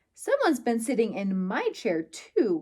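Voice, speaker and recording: Growling in a put-on character voice, a woman with a fairly high pitch talks at a moderate pace. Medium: read story.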